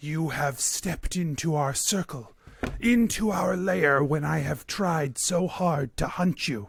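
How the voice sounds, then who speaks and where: This man puts on a character voice with lively intonation and a fairly high pitch. His pace is fairly slow. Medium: actual play. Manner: cold, formal, imperious.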